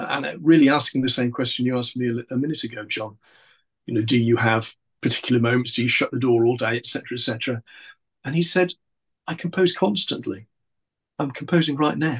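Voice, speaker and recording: At a very fast pace broken by long, frequent pauses, a man speaks in a somewhat breathy voice at medium pitch with ordinary pitch variation. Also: quiet background. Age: 60s. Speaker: composer. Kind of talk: interview. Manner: halting.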